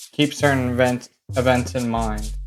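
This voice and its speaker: Here is a man with an ordinary speaking voice. He talks at a moderate pace and a medium pitch. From Canada. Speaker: mapping video creator. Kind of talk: casual map commentary. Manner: casual, conversational.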